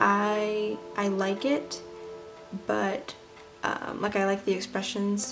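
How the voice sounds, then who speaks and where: A woman is talking with music playing in the background. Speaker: artist. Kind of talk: casual voice-over of sketchbook flip-through. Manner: hesitant, many filler words.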